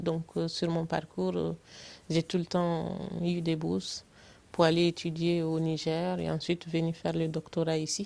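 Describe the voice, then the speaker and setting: Speaking at a fairly slow pace, a woman with a fairly low pitch is heard against a quiet background. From Burkina Faso. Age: 40s. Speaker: political candidate, electrical engineer. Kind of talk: interview. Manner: hesitant, many fillers.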